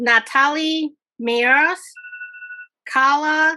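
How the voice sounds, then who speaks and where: A woman's raised, projected voice. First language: not English. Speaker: event host. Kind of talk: online event announcements. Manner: halting.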